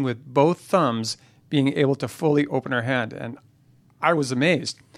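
A man's plain, everyday voice, fairly high in pitch, with ordinary pitch variation and a moderate pace. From Canada. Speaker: university vice president, former chiropractor. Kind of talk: interview. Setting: studio.

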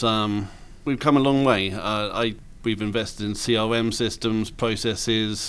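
A man with an English accent talks at a medium pitch. His pace is fairly slow and his intonation fairly even. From England. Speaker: roofing business owner. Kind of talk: interview.

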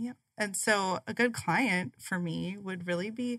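A woman at medium pitch with lively intonation, at a fairly slow pace, on a very clean recording with a silent background. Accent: Upper Midwest. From South Dakota, US Midwest. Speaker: chamber of commerce business development director. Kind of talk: radio interview.

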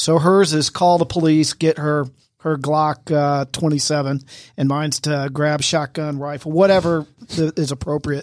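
A man at a fairly high pitch, with monotone, flat intonation and a moderate pace. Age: 50s. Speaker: real estate agent and co-host. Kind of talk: casual chat. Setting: studio.

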